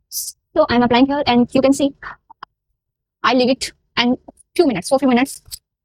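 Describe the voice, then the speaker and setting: Speaking at a fairly quick pace but with long, frequent pauses, a woman with a high pitch keeps her intonation fairly even. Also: dry, close sound with no echo. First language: Hindi. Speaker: makeup artist. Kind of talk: tutorial. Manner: halting.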